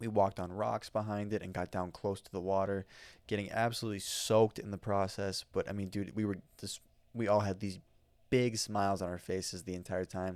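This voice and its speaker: Monotone, flat intonation in an American accent, with big swings in loudness at a fairly quick pace, on a very clean recording with a silent background. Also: man, fairly low pitch for a man. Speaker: podcast host. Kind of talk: casual podcast monologue. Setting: talking into a microphone. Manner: casual, filler-heavy.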